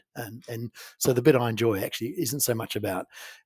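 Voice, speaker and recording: A somewhat breathy man with a New Zealand accent speaks in a dry, close sound with no echo. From New Zealand, farming community. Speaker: company CEO. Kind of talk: interview. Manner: halting, many fillers.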